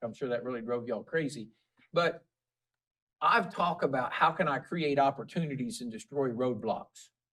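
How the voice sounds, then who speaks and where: A man's fairly quick, fairly high-pitched talk with ordinary pitch variation and an ordinary speaking voice. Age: 50s. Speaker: school superintendent. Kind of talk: casual interview chat.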